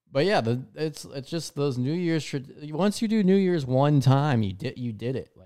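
A man with a plain, everyday voice and a fairly high pitch talks at a moderate pace with lively intonation and hardly any pauses. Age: 20s. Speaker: podcast host and aspiring comedian. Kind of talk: casual solo monologue.

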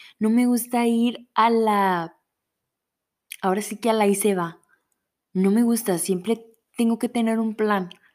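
A woman in an animated tone speaks at a fairly slow pace with long, frequent pauses, captured in a very clean recording with a silent background. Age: 20s. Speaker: podcast host. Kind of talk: personal faith reflection.

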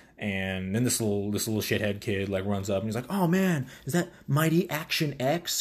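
A man talks at a fairly quick pace. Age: 20s. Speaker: solo podcaster reviewing TV episodes. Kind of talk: casual solo commentary. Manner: many filler words, scatterbrained.

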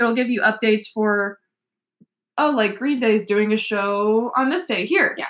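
In a very clean recording with a silent background, a woman with an American accent has an unremarkable speaking voice, fairly high in pitch, with ordinary pitch variation at a moderate pace. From US South, Nashville, Tennessee. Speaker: college student and music blogger. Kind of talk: casual chat.

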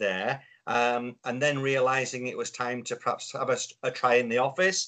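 Someone with a Yorkshire accent talks at a moderate pace against a quiet background. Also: man. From Yorkshire, northern England. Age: 50s. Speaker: business consultant. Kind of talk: casual chat.

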